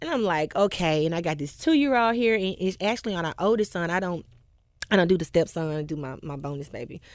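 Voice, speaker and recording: A woman with a Memphis accent talks very fast in a fairly low voice with lively intonation, on a very clean recording with a silent background. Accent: US Southern, Memphis. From Memphis, Tennessee (Whitehaven). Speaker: gospel singer. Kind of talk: casual interview.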